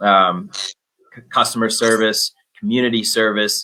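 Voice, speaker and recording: Bright and sharp in tone, a man with an American accent speaks at a medium pitch. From Minnesota. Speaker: business development manager. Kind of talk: unscripted panel talk.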